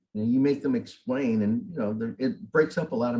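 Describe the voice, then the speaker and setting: A dark, mellow tone with lively intonation. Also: man. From Southern California and Tijuana. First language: Spanish. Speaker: political candidate, military veteran. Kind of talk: interview.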